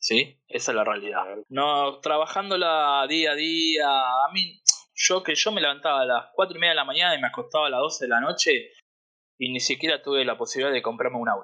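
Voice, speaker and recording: The man's tone is bright and sharp, his pitch fairly high, with ordinary variation in it. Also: fairly quick pace, quiet background. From Argentina. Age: 30s. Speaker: interviewee, Argentine emigrant living in the US. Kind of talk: casual interview, personal testimony. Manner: conversational, halting with repetitions.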